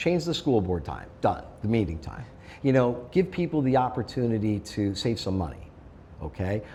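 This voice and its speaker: This man talks at a medium speed, his pitch swinging very widely, with vocal fry in his voice. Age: 60s. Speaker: school board candidate. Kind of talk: interview. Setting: sit-down interview in person.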